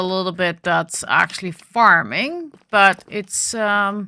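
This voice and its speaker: With a Dutch accent, a woman at a medium pitch speaks in a bright, sharp tone on a very clean recording with a silent background. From Netherlands. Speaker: gaming video creator. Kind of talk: gameplay commentary. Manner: hesitant with fillers.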